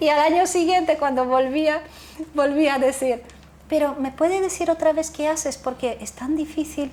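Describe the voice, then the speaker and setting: Fairly even intonation in a Polish accent, at a moderate pace. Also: woman, high pitch for a woman. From Poland, then Netherlands. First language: Polish (speaking Spanish). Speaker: founder of a youth nonprofit. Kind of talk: interview conversation. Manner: halting, with self-corrections.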